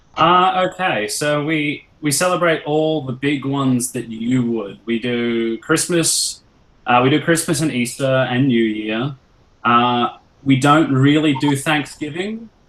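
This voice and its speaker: Here a man speaks with an Australian accent. His pace is fairly slow. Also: fairly high pitch for a man, ordinary pitch variation. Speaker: musician. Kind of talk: casual Q&A with school class.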